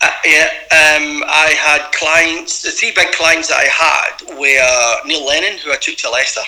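A man with a Glaswegian accent talks at a fairly slow pace with hardly any pauses. Noticeable background noise runs underneath. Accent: Glaswegian Scottish. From Scotland, Glasgow East End. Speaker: former footballer. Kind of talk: interview.

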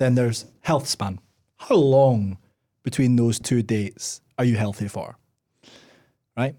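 With a Scottish accent, a man speaks at a fairly slow pace in a medium-pitched, dark, mellow voice with ordinary pitch variation and long, frequent pauses. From Scotland. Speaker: podcast host. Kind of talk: casual chat.

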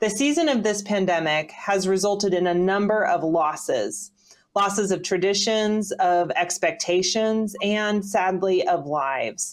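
At a fairly slow pace, a woman with an American accent speaks at a medium pitch, with ordinary pitch variation and very even loudness, in an unremarkable speaking voice. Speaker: podcast host. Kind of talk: podcast conversation.

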